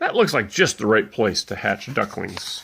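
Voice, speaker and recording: A man puts on a character voice. He talks at a moderate pace. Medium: read story. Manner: brisk, motherly.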